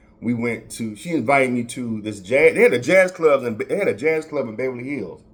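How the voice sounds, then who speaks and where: In a Southern US accent, a man with a medium pitch talks at a fairly quick pace with hardly any pauses. His intonation is lively, and his loudness swings widely. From Florida. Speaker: podcast host. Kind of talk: casual chat. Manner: halting, many repetitions.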